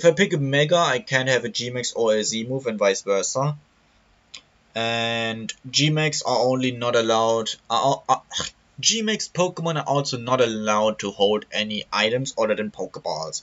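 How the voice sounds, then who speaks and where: A man with a German accent, medium pitch, lively intonation and a moderate pace. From Germany. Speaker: gaming YouTuber. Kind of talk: tutorial. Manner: halting.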